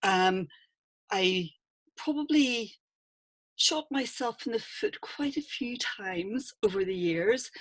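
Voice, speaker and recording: A woman with a Northern Irish accent speaks at a fairly high pitch. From Northern Ireland. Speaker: public speaking coach. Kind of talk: online workshop talk.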